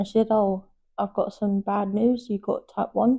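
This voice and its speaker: In a London accent, a woman with a dark, mellow tone talks at a fairly quick pace. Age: 20s. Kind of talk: interview testimony. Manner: halting, repetitive phrasing.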